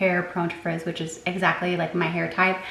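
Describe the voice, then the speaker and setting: A woman is speaking. Audible room echo and noticeable background noise surround her voice. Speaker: lifestyle vlogger. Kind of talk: casual vlog talk to camera. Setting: at home in the evening. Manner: soft-spoken.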